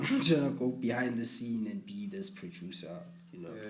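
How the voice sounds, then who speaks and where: A man speaks at a moderate pace with very wide pitch swings, heard with noticeable background noise and audible room echo. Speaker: musician and music producer. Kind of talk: casual interview.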